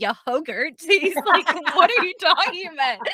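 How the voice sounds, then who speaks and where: A woman's raised, projected voice with an American accent, very wide pitch swings, an animated tone and a moderate pace, in a dry, close sound with no echo. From Scotland. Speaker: confidence coach. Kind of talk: casual chat. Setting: video call from husband's closet.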